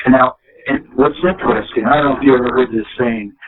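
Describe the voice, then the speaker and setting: With an American accent, a man speaks in an unremarkable speaking voice at medium pitch with ordinary pitch variation. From eastern US. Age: 60s. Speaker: presidential candidate. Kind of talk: interview.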